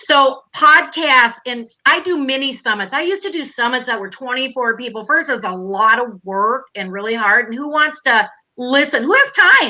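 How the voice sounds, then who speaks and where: A woman with a high pitch projects her raised voice at a moderate pace. Her tone is bright, sharp and animated, with lively intonation. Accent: Minnesotan. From Minnesota. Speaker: online business coach. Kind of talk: live stream interview. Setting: live stream video call.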